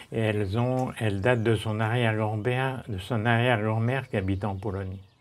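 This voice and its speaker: Speech moves at a fairly quick pace with fairly even intonation over noticeable background noise. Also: man, fairly low pitch for a man. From northern France. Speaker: retired doctor, gardener. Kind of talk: casual chat. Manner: halting.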